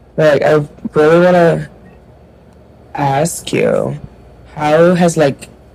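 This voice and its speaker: Very slow delivery with long, frequent pauses, very even loudness and noticeable background noise. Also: woman. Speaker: podcast host. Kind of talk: casual chat.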